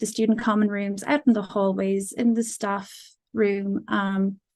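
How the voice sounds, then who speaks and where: Against a quiet background, a woman speaks at a medium pitch with an Irish accent. Her pace is fairly slow and her intonation monotone and flat. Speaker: music student. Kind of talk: conference presentation. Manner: hesitant, many fillers.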